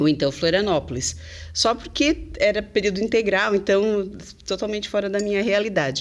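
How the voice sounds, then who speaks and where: A woman speaks at medium pitch and a moderate pace, with some vocal fry. Her intonation is lively. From southern Brazil, Santa Catarina (Criciúma). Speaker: English teacher. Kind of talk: podcast interview. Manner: chatty, many fillers.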